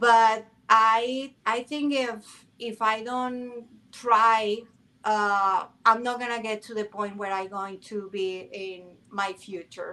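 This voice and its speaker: At a very slow pace, a woman with a non-native accent speaks at a fairly high pitch in a bright, sharp tone. Her intonation is fairly even, while her loudness swings widely. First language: not English. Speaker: podcast guest. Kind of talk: casual chat. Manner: halting.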